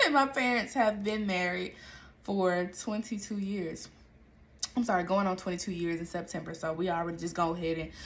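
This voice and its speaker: Her tone is animated, with a medium pitch and ordinary pitch variation as the woman moves at a moderate pace. Room echo is audible. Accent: American. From Atlanta, Georgia (US South). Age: 20s. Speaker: podcast host. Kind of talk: casual monologue.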